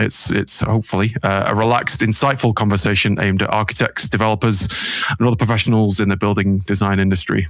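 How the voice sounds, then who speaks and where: Speaking with a British accent, a man talks at a fairly quick pace with a fairly low pitch and ordinary pitch variation. Background noise is noticeable. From UK. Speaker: acoustics consultant hosting a panel discussion. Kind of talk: video panel introduction. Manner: casual with frequent fillers.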